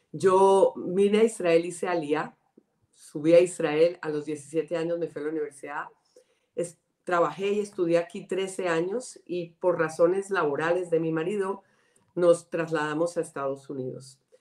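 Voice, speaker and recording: This woman has a Colombian accent and a fairly low pitch. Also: fairly even intonation, moderate pace. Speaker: director of a women's organization. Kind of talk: interview.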